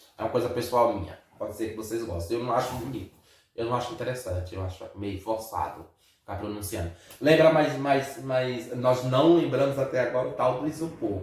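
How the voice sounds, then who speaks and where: Audible room echo surrounds a man speaking at a fairly quick pace. His pitch is medium, with ordinary variation. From Brazil. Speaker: vlogger. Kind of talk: casual chat.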